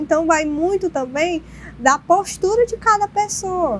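A woman speaks at a fairly slow pace with light noise in the background. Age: 30s. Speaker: social worker; guest. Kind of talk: panel discussion. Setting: TV studio. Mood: earnest, reflective. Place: studio. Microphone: lapel.

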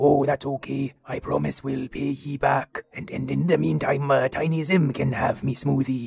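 A man speaks in a raspy, put-on character voice at medium pitch and a moderate pace, with hardly any pauses. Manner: slight, slipping into the accent.

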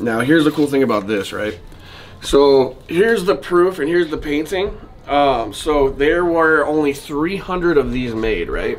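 A fairly slow pace, with faint music in the background. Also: man. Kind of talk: casual vlog chat. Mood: excited, giddy. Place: shop. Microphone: camera far.

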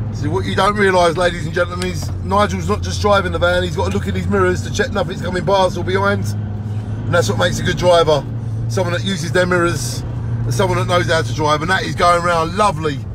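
A man talks at a very fast pace. The sound is dry with no echo, and there is noticeable background noise. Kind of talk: casual vlog chat. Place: car. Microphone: phone near.

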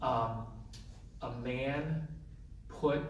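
A man's voice over noticeable background noise. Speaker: interfaith leader and author. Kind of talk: panel presentation. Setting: stage with audience.

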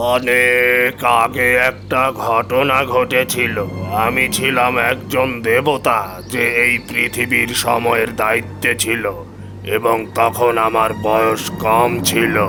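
A man puts on a cartoonish character voice at a medium pitch, speaking fairly slowly. Loud background noise runs underneath. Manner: weary, heavy.

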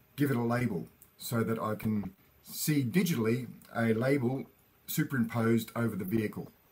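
Ordinary pitch variation at a moderate pace. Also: man. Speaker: educator. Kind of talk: lecture.

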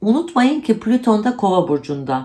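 A woman talks fairly slowly, her voice somewhat breathy. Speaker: astrologer. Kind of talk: monthly horoscope monologue.

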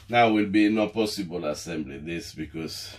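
The intonation is fairly level. The speaker is a man.

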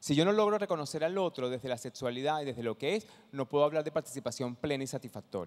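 A man talks at a very fast pace. His pitch sits fairly high. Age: 50s. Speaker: social entrepreneur; conference presenter. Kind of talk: talk to an audience; conference talk. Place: hall. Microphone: handheld.

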